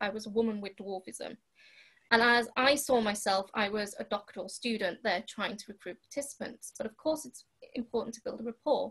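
The speaker is a woman with a fairly quick pace. Behind her, the background stays quiet. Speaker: remote podcast guest. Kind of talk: interview answer. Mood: serious, reflective. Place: home room. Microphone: video call.

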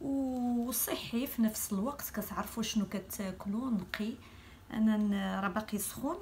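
With a Moroccan accent, a woman speaks at a fairly slow pace with ordinary pitch variation over light background noise. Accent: Moroccan Darija. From Morocco. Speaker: cooking channel host. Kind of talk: cooking tutorial. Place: kitchen. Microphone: phone near.

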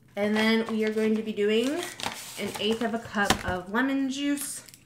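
Loud background noise surrounds a woman with a fairly high pitch. She speaks at a fairly slow pace with ordinary pitch variation. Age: 20s. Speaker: lifestyle vlogger. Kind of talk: casual vlog. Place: kitchen. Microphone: phone near.

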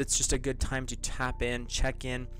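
Over light background noise, a man speaks fairly slowly with fairly even intonation, and the sound is dry with no echo. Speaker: tarot host. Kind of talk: casual spiritual talk to viewers. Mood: calm, lightly amused. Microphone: studio mic.

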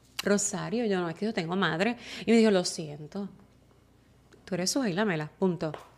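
A fairly quick pace broken by long, frequent pauses, with ordinary pitch variation. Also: woman, medium pitch for a woman. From Puerto Rico. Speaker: TV news reporter. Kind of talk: interview conversation. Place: studio. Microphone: studio mic.

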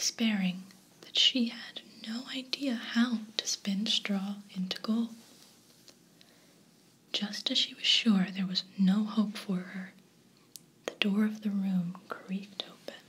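Soft-spoken and at a very slow pace, the speaker leaves long, frequent pauses. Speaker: storybook reader. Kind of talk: storytelling read-aloud. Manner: soft-spoken, hushed ASMR storytelling.

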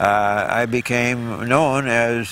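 There is noticeable background noise as a man with an American accent speaks at medium pitch. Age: 90s. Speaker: barefoot water skier. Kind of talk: interview answer. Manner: reflective, conversational.

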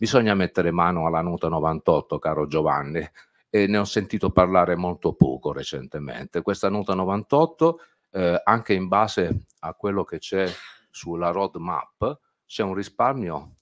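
A man's very deep, low voice, with ordinary pitch variation, at a fairly slow pace. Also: quiet background. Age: 60s. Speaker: ophthalmologist; speaker. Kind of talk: panel talk. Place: meeting room. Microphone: podium.

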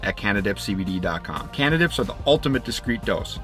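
Faint music plays in the background as a man talks at a moderate pace. The sound is dry with no echo. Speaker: vlogger. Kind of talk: sponsor ad read. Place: open country.

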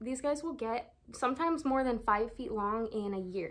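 A woman with an American accent speaks at a moderate pace, her pitch varying in an ordinary way. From Oxnard, California. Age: 20s. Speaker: snake keeper. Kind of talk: casual talk to camera. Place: home room. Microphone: phone near.

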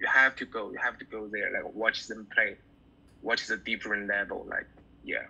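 A man with a Chinese accent talks at a moderate pace. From China. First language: Mandarin Chinese. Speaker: bassist; guest. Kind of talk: interview. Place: home room. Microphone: video call.

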